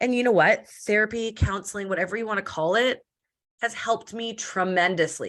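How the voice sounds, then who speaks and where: A woman talks at a fairly quick pace in an animated tone on a very clean recording with a silent background. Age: 30s. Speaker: entrepreneur and podcast guest. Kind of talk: casual interview chat. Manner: loud; fast, animated.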